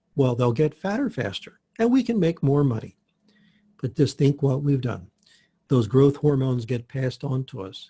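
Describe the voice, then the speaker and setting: Music plays behind a man who speaks at a medium pitch and a moderate pace. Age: 60s. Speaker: health practitioner. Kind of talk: interview.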